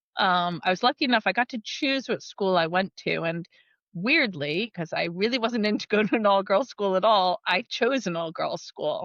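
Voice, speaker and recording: A woman's medium-pitched voice with an American accent and lively intonation, over a quiet background. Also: moderate pace, dry, close sound with no echo. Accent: American, unchanged. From United States. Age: 40s. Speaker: technology company leader. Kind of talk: podcast interview.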